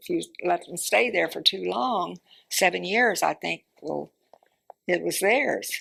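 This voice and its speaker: A woman is speaking. She has a Southern US accent. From Central Florida. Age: 80s+. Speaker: oral history interviewee. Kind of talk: oral history interview. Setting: library. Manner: halting.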